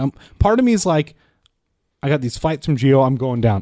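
Against a quiet background, a man talks fairly quickly in a plain, everyday voice. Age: 20s. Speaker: podcast guest. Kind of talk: casual chat.

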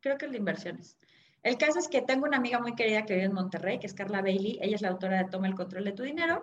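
A woman talks at a very fast pace with lively intonation and a medium pitch. Her voice is somewhat breathy. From Mexico City. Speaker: personal finance author. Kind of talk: interview.

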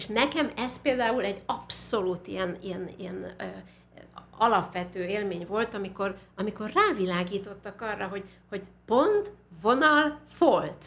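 The speech goes at a fairly slow pace with ordinary pitch variation and big swings in loudness, over noticeable background noise. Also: woman, medium pitch for a woman. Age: 60s. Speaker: musicologist and university teacher. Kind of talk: interview conversation. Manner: animated.

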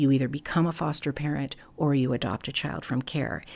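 Over a quiet background, a woman talks at a fairly quick pace in a very deep, low pitch with vocal fry. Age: 60s. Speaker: foster care community founder. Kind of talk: interview.

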